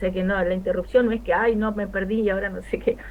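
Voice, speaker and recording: Very fast speech from a woman at a medium pitch. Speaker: history teacher. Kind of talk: lecture.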